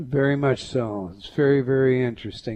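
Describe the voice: With ordinary pitch variation, a man talks at a moderate pace and medium pitch.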